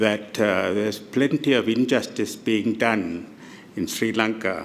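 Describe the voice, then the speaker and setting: A man at a medium pitch and fairly slow pace, with noticeable background noise. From Malaysia, Kuala Lumpur. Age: 70s. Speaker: audience member. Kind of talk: audience question. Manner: halting.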